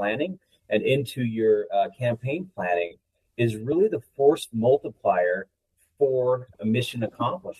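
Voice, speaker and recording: A man speaks at a moderate pace with a somewhat breathy voice and lively intonation. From Utah (Uinta Basin). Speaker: army officer. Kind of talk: interview.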